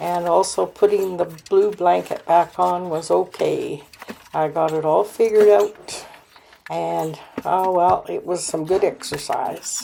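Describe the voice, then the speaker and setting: A woman at a fairly slow pace, with noticeable background noise. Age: 70s. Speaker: homemaking vlogger. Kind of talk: casual vlog narration. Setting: at home.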